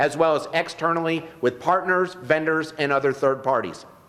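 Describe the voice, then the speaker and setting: Speaking at a fairly quick pace with ordinary pitch variation, a man with a high pitch talks over noticeable background noise. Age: 50s. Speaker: political candidate. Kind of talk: campaign speech. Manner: formal.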